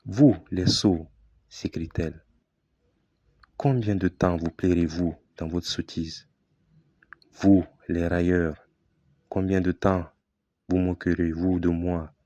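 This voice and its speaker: Against a quiet background, a man with a very deep, low pitch and a dark, mellow tone speaks very slowly with fairly even intonation and long, frequent pauses. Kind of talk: Bible reading for relaxation and sleep.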